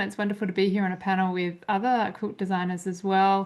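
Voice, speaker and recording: The background stays quiet. A woman talks in an Australian accent. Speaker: quilt pattern designer. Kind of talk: panel discussion.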